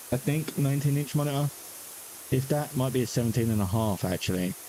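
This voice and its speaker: A man with a London accent at a fairly quick pace, ordinary pitch variation and noticeable background noise. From South East London. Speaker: gaming streamer. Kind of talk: casual chat. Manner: halting.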